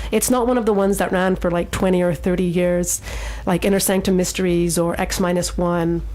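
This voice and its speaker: Noticeable background noise accompanies a woman talking at a fairly quick pace in a fairly low pitch with fairly even intonation. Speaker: radio show host. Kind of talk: radio show hosting, casual.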